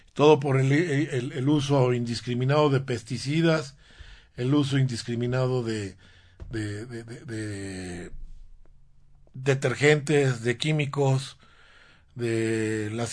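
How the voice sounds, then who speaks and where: Ordinary pitch variation marks a man's medium-pitched voice as he speaks at a very slow pace. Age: 60s. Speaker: radio host and alternative medicine doctor. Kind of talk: health talk radio show. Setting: radio studio. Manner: halting, frequent repetitions.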